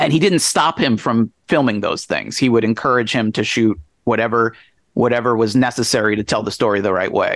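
In an ordinary speaking voice, a man with an American accent talks at a fairly quick pace and medium pitch over a quiet background. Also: ordinary pitch variation. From suburban New Jersey. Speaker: author. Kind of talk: interview.

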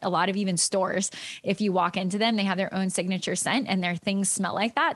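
Fairly even in intonation, a woman talks at a medium pitch in a plain, everyday voice. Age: 30s. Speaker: yoga teacher and essential oils business leader. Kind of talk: interview.

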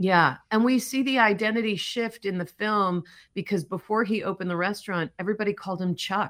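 A woman with an American accent talks at a fairly quick pace, at medium pitch with ordinary pitch variation. It is an ordinary speaking voice in a very clean recording with a silent background. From US Midwest, Chicago area. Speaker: documentary director. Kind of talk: interview.

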